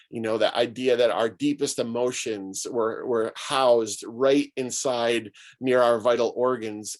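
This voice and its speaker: It's an ordinary speaking voice from a man with an American accent. He speaks at a moderate pace and a medium pitch. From Syracuse, New York, US. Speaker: pastor and author. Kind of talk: talk to an online gathering.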